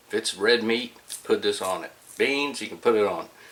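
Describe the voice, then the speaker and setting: There is noticeable background noise. Through it, a man talks with an American accent. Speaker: BBQ cooking video host. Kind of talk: casual cooking tutorial. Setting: outdoors at the smoker pit. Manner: quiet, trying not to wake wife.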